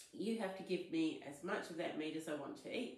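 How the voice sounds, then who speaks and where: The speech moves at a moderate pace. Audible room echo hangs around it. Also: woman. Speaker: spiritual content creator. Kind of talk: storytelling vlog. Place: home room. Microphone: phone near.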